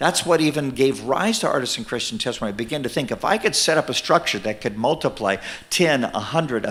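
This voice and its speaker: A man's plain, everyday voice at a medium pitch. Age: 60s. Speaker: minister and ministry leader. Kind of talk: sermon. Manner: conversational, with fillers.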